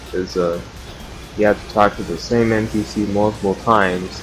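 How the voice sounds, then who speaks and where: Music runs in the background while a man speaks at a fairly low pitch. His pace is moderate and his intonation fairly even. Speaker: gaming streamer. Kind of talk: gameplay commentary. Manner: monotone; casual, filler-heavy.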